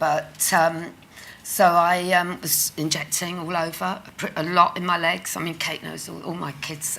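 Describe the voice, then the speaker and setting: There is audible echo from the room. A woman speaks at a fairly low pitch. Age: 60s. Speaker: patient sharing lived experience of leg ulcers. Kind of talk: conference testimony interview. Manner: halting.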